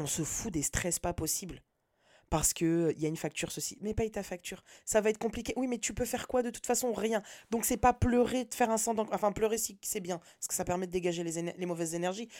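On a very clean recording with a silent background, a woman speaks at a fairly quick pace in a medium pitch, with a dark, mellow tone and ordinary pitch variation. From France, Nantes. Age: 30s. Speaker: podcaster. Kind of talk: personal monologue. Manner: casual slangy, hesitant.

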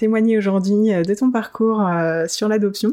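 This is an ordinary speaking voice from a woman at a medium pitch. She goes at a fairly slow pace against a quiet background. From adopted to France as an infant. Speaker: podcast host. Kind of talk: interview.

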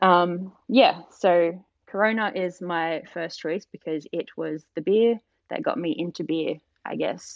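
Speaking in an Australian accent, a woman keeps a fairly slow pace. Her pitch sits fairly low and varies in an ordinary way. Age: 30s. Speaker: tattoo artist. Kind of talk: casual chat.

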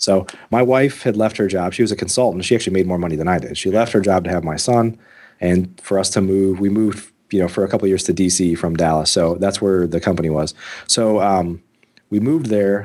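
A man talks at a very fast pace in a very deep, low pitch. The recording is very clean, with a silent background. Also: ordinary pitch variation. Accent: American. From US Midwest. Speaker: real estate investor and podcast host. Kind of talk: interview.

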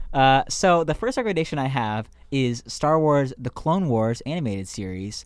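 In an ordinary speaking voice, a man talks at a moderate pace with fairly high pitch and lively intonation. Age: 20s. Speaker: podcast co-host, student. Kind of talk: casual chat.

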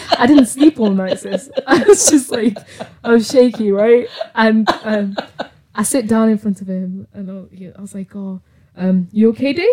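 Somewhat breathy and dark, mellow in tone, the voice moves at a fairly slow pace with big swings in loudness and ordinary pitch variation. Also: woman, fairly high pitch for a woman. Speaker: friend. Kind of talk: casual chat.

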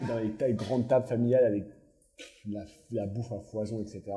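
A man with a dark, mellow, medium-pitched voice talks at a fairly quick pace, somewhat breathy and monotone, with long, frequent pauses. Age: 20s. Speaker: bakery co-owner. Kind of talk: casual chat.

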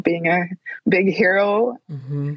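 This woman speaks with a Spanish accent. Her pitch is medium. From Colombia, Bogota. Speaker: children's book author and illustrator. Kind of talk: interview. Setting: remote call.

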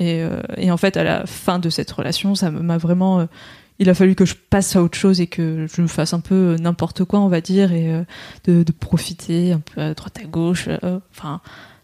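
At a moderate pace, a woman speaks in a fairly low, dark, mellow tone with monotone, flat intonation, on a very clean recording with a silent background and a dry, close sound with no echo. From southern France. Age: 20s. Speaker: stay-at-home mother-to-be. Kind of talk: casual interview. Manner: hesitant.

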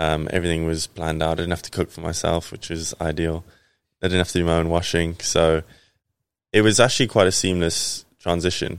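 A very deep, low-pitched man at a fairly quick pace with fairly even intonation, on a very clean recording with a silent background. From South Africa. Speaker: professional cricketer. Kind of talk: casual chat.

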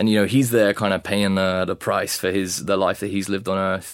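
With a British accent, a man speaks at a fairly quick pace and fairly low pitch, his intonation fairly even, on a very clean recording with a silent background. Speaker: vicar. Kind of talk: interview answers.

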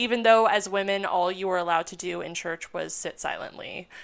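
On a very clean recording with a silent background, a woman of medium pitch speaks in an unremarkable speaking voice with fairly even intonation. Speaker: history podcaster. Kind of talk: casual conversation with history storytelling.

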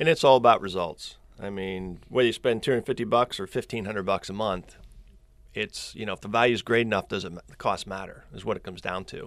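A man's fairly low voice in a Central Pennsylvania accent, very fast, with big swings in loudness, in a very clean recording with a silent background. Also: ordinary pitch variation. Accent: Central Pennsylvania American. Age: 50s. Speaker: social media marketer, former landscaping business owner. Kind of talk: casual interview chat. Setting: studio.

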